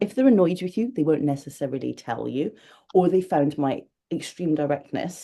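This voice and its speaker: A woman's very deep, low voice with a Scottish accent, a dark, mellow tone and lively intonation. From Scotland. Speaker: magazine editor. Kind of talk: interview. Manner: loud.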